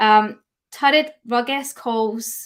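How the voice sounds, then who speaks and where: A woman speaks with a Scottish accent. Her pitch is fairly high. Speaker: dog grooming educator. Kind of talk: webinar lecture. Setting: live stream. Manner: hesitant fillers.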